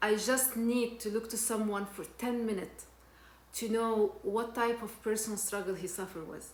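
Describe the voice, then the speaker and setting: A woman's monotone, flat delivery against noticeable background noise. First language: not English (English is third language). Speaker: personal development vlogger. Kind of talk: personal testimony. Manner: halting, frequent repetitions and fillers.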